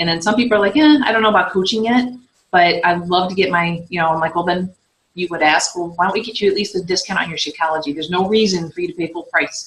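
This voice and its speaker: Speaking at a very fast pace, a woman keeps a medium pitch with ordinary pitch variation. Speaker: fitness coach and team leader. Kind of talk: team training call. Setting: conference call.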